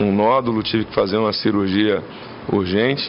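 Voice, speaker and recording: Over noticeable background noise and audible room echo, a man speaks with fairly low pitch and fairly even intonation. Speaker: gubernatorial candidate, military police colonel. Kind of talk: interview Q&A.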